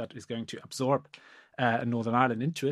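A man with a German accent and medium pitch speaks with fairly even intonation on a very clean recording with a silent background. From Germany. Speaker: law professor. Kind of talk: academic discussion. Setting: podcast recording. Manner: halting, many repetitions.

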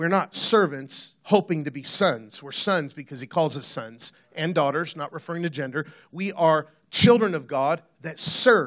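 A man with an unremarkable speaking voice talks at a moderate pace and a fairly high pitch. His pitch varies ordinarily, while his loudness swings widely. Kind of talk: sermon. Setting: church stage with audience. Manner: casual, jokey, conversational.

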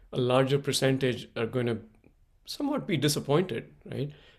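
A man speaks at a fairly quick pace, his fairly high voice somewhat breathy. His pitch varies in an ordinary way on a very clean recording with a silent background. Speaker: podcast host. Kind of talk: casual interview chat.

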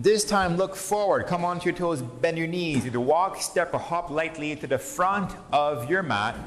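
Over noticeable background noise, a man talks at a moderate pace with hardly any pauses. His pitch is high and his intonation lively. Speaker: yoga instructor. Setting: class with participants present. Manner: calm, soothing imperative cues, short commands paced to the breath; gentle and encouraging, spiritual asides woven into instructions.

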